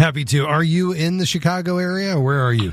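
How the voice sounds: A man talks at a fast pace, his pitch fairly high with ordinary variation.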